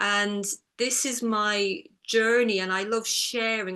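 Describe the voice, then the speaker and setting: A woman's bright, sharp tone at a medium pitch, very slow in pace and fairly even in intonation, in an Irish accent. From Ireland, near the border. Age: 60s. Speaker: author and eating disorder recovery coach. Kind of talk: interview conversation.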